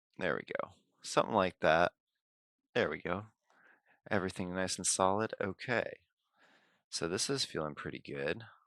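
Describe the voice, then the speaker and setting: A quiet man with a very deep, low pitch talks at a moderate pace with ordinary pitch variation and long, frequent pauses, in a dry, close sound with no echo on a very clean recording with a silent background. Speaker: live streamer designing 3D prints. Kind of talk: live stream tutorial commentary. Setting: live stream at home. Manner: quiet, low-key; halting, thinking aloud.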